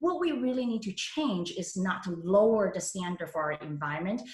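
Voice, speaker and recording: A somewhat breathy voice at a moderate pace. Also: woman. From Hong Kong, moved to San Francisco at 13. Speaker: political candidate. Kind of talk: endorsement interview. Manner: halting.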